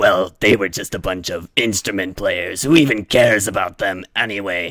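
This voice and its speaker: A man speaks in a put-on character voice at a moderate pace, his fairly low pitch moving with ordinary variation. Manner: casual, bickering.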